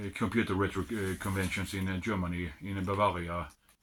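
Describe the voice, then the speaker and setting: On a very clean recording with a silent background, a man speaks in a Swedish accent. His pitch is very deep and low, his intonation fairly even. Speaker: retro computer hobbyist. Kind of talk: unboxing video. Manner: halting.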